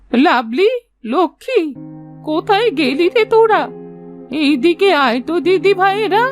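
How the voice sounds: A female-sounding cartoonish character voice speaks at an extremely high pitch and a fairly slow pace. Faint music plays in the background.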